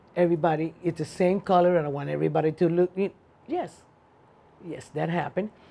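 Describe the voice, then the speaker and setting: Delivered at a very fast pace, this voice has a Cuban accent. The tone is dark and mellow, with ordinary pitch variation. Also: woman. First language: Spanish. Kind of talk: oral history interview answer.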